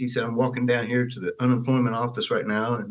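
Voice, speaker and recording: A man talks at a very fast pace in a Southern US accent. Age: 70s. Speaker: Elvis Presley's stepbrother. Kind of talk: interview answer.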